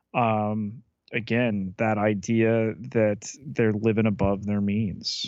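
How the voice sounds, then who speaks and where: The voice moves at a very slow pace, its loudness very even throughout. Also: man, fairly low pitch for a man, fairly even intonation. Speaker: podcast co-host. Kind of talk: casual podcast review chat.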